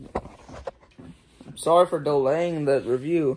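There is light background noise. A man speaks with ordinary pitch variation. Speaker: food reviewer vlogger. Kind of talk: casual vlog chat. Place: home room. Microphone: phone near.

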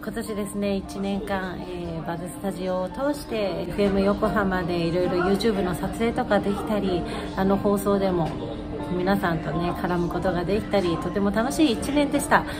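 With clear music playing behind her, a woman speaks at a moderate pace. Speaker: radio personality. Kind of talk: casual talk to camera. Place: office. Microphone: phone near.

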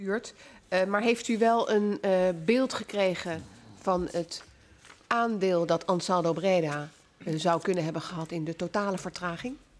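Her pitch varies in an ordinary way as the woman speaks fairly slowly. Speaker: parliamentary committee chair. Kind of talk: formal hearing. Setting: parliamentary hearing room. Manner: formal. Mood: formal, measured. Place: hall. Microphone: podium.

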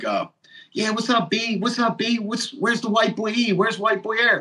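A man puts on a character voice in a New York accent. His pitch is extremely high, and he keeps a moderate pace.

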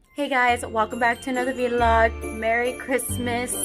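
Clear background music behind a woman's voice at a moderate tempo. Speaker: vlogger. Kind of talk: casual vlog chat. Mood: cheerful, festive. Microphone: phone near.

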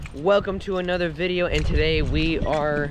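Over light background noise, a man speaks at a very slow pace with ordinary pitch variation, the sound dry with no echo. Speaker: vlogger. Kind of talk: casual vlog chat. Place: open country. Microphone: phone near.

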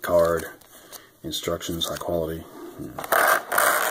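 Over noticeable background noise, a man with a very deep, low pitch speaks with ordinary pitch variation. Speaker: toy reviewer. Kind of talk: casual unboxing review chat. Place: home room. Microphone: phone near.

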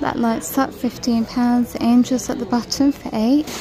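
At a slow pace and with fairly even intonation, the voice carries a dark, mellow tone over faint background noise. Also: woman.

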